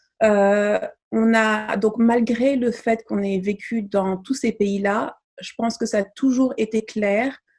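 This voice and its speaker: Somewhat breathy, a woman speaks very slowly at a fairly high pitch in a flat monotone. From Mali, raised abroad in diplomatic family. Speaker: feminist activist and entrepreneur. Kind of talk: interview. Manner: hesitant, many fillers.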